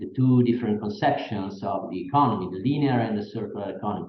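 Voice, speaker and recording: Fairly even intonation in an Italian accent, with music in the background and audible room echo. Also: man. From Italy. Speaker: professor. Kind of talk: lecture. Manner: halting.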